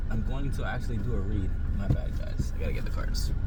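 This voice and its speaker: A man at a fairly quick pace, with audible room echo and noticeable background noise. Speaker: tarot reader and vlogger. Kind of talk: casual vlog tarot reading. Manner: casual, halting with repetitions.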